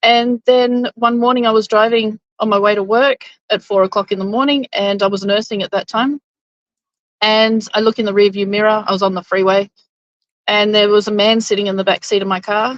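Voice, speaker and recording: A woman with an Australian accent speaks at a fairly quick pace in a fairly high pitch, her intonation monotone and flat. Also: dry, close sound with no echo. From Queensland, Australia. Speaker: interview guest. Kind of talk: interview storytelling.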